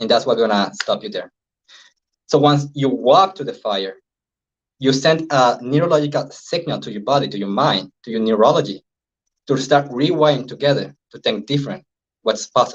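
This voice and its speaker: Speaking with a Venezuelan accent, a man uses a fairly high pitch, lively intonation and big swings in loudness, with long, frequent pauses. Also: moderate pace. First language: Spanish. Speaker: NLP and hypnosis trainer, life coach. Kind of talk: interview. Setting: live stream.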